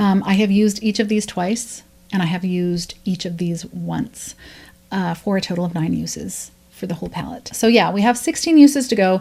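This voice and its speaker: A woman with a medium-pitched, dark, mellow and somewhat breathy voice speaks at a moderate pace with ordinary pitch variation. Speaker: beauty YouTuber. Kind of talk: casual vlog update.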